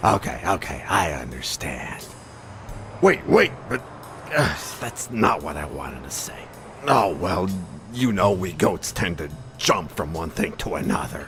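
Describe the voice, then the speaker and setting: Putting on a character voice with a very deep, low pitch, a man talks at a moderate pace with long, frequent pauses over clear background noise. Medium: video game. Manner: rambling, jumping between thoughts.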